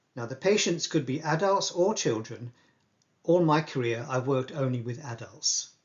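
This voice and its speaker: A somewhat breathy man with a fairly high-pitched voice speaks at a moderate pace with lively intonation. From England. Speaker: palliative care doctor. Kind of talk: lecture.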